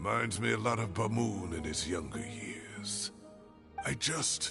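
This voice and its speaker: Over clear music in the background, a man puts on a character voice at a fairly low pitch and a fairly slow pace. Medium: video game.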